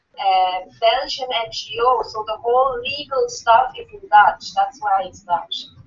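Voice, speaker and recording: A woman with a fairly high pitch speaks at a fairly slow pace with lively intonation, hardly any pauses and big swings in loudness. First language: not English. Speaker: association officer presenting amendment. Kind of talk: meeting debate.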